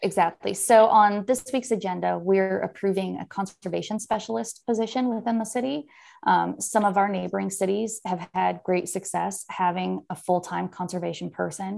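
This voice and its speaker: Delivered at a moderate pace with hardly any pauses, this voice carries an American accent over a very clean recording with a silent background. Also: woman. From San Francisco Bay Area, California. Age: 40s. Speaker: city mayor. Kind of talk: casual interview. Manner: animated, casual, filler words.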